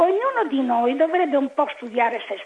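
Noticeable background noise runs under the recording. Over it, a woman's intonation is lively. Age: 80s+. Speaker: caller. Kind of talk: casual chat. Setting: phone call.

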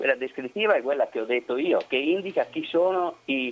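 He has an unremarkable speaking voice, and he is a man. His delivery keeps a moderate pace with lively intonation. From Vittorio Veneto, Veneto. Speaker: historian and researcher. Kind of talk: interview about history. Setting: phone call.

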